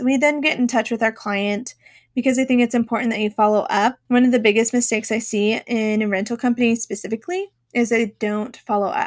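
A woman with a plain, everyday voice talks at a fairly high pitch and a fairly quick pace with ordinary pitch variation, in a very clean recording with a silent background and a dry, close sound with no echo. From Boston, Massachusetts. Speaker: podcast host and rental business owner. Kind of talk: educational business podcast monologue. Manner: conversational, explanatory.

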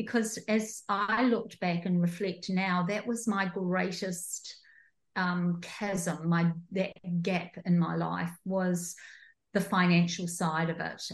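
The speaker has a New Zealand accent and a somewhat breathy voice, with fairly even intonation. The pace is very slow against a quiet background. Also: woman, medium pitch for a woman. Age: 60s. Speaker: entrepreneur and coach. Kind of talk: interview conversation.

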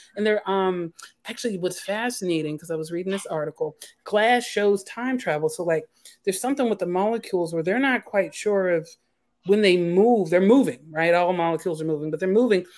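At a fairly quick pace, a woman speaks in a normal speaking voice at a medium pitch with ordinary pitch variation. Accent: American. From US, Philadelphia. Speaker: author. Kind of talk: casual chat. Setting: remote video call.

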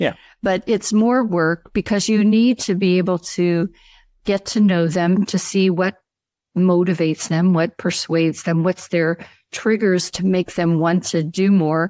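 The voice has a dark, mellow tone and fairly even intonation, with a dry, close sound with no echo on a very clean recording with a silent background. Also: woman, medium pitch for a woman, very even loudness. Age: 60s. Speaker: speaker trainer and coach. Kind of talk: interview.

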